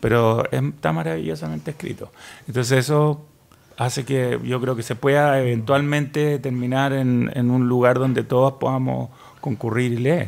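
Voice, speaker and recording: A man talks at a moderate pace. His pitch moves in an ordinary way. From Chile. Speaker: writer; guest. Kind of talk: panel discussion. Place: studio. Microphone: studio mic.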